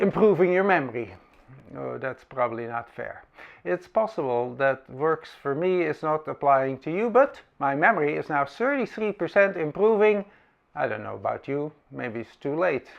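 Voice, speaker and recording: A man with a Dutch accent speaks at a moderate pace in a fairly high pitch. His pitch swings very widely. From Netherlands. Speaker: camera reviewer. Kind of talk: comedic monologue.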